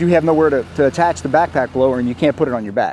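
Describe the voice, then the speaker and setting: Music plays behind a man with a fairly high voice who speaks very fast with lively intonation. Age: 60s. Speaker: lawn care business owner. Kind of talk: interview testimonial.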